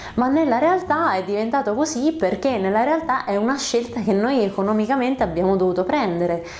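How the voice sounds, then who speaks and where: Speaking fairly quickly at a fairly high pitch with hardly any pauses, a woman keeps her loudness very even while her pitch swings very widely. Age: 30s. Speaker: YouTuber on screenwriting and storytelling; narrative communication vlogger. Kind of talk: vlog monologue. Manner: animated. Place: home room. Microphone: lapel.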